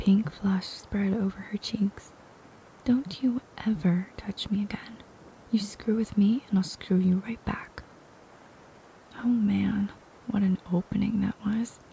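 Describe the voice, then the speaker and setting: A soft-spoken woman at a medium pitch, with a fairly slow pace, long, frequent pauses and noticeable background noise. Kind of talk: audiobook reading.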